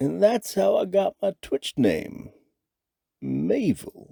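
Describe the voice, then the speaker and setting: A man does a croaky put-on character voice. The sound is dry and close, with no echo. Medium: cartoon. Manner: rambling.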